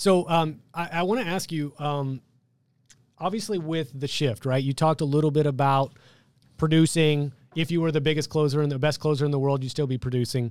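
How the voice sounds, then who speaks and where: A man talks in a normal speaking voice with ordinary pitch variation. The recording is very clean, with a silent background. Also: fairly high pitch for a man, fairly quick pace. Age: 30s. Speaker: podcast host, insurance sales rep. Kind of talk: podcast interview. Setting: studio.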